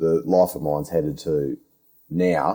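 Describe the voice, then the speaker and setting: A strong Australian accent, a dark, mellow tone, ordinary pitch variation and a very slow pace. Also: man. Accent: broad Australian. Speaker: podcast host, underground miner. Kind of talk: casual interview chat. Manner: halting, repeats words.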